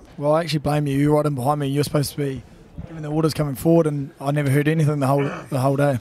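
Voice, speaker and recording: With a New Zealand accent, a man speaks at a very fast pace in a fairly high-pitched voice. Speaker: rugby commentator (player). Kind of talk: live commentary; casual chat. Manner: animated.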